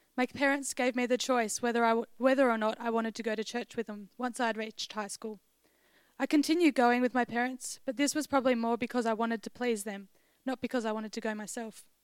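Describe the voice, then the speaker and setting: In a dry, close sound with no echo, a woman speaks at a very fast pace with a fairly high pitch and fairly even intonation. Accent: Australian. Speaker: university student. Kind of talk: testimony. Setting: church.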